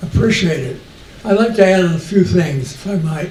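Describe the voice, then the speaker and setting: A man with a high voice talks at a moderate pace with ordinary pitch variation, amid noticeable background noise and audible room echo. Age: 90s. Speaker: audience member. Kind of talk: audience comment.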